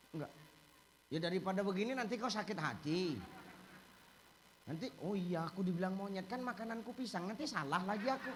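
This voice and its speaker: A man with a Medan accent and a high pitch talks at a fairly quick pace with ordinary pitch variation and long, frequent pauses. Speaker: Islamic preacher. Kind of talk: humorous religious sermon.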